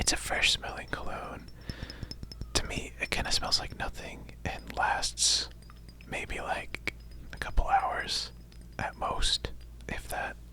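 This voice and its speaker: A man whispers very slowly, leaving long, frequent pauses, with noticeable background noise behind him. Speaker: ASMR creator. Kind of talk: casual talk to camera, personal attention ASMR. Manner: whispered, soft-spoken.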